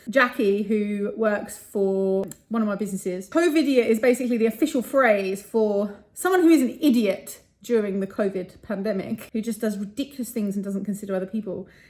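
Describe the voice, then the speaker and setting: A fairly high, somewhat breathy woman's voice at a fairly quick pace. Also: ordinary pitch variation, hardly any pauses. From London, England. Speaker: property entrepreneur vlogger. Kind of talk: casual vlog to camera. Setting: hotel room.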